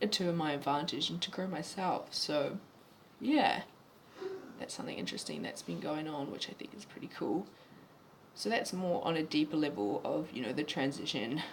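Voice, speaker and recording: Over noticeable background noise, a man speaks with very wide pitch swings and long, frequent pauses. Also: fairly high pitch for a man, moderate pace. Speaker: vlogger sharing gender transition journey. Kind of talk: casual video diary. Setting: in a bar. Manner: halting, many fillers and restarts.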